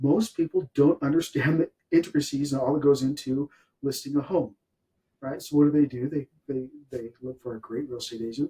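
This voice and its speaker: A man's somewhat breathy, fairly high voice with a dark, mellow tone, fairly quick in pace, dry and close with no echo. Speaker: podcast host, real estate professional. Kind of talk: interview podcast host talk. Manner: upbeat.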